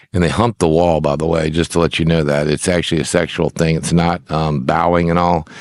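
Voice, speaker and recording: A man talks at a very fast pace with a very deep, low pitch. The sound is dry and close with no echo, and there is noticeable background noise. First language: Icelandic. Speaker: minister and religion presenter. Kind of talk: rant. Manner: halting; animated.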